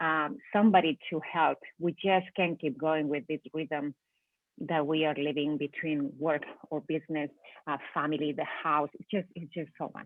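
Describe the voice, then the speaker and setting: Speaking with a Spanish accent, a woman talks at a moderate pace in a very deep, low pitch with ordinary pitch variation. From Spain. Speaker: business owner. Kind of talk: interview. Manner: halting.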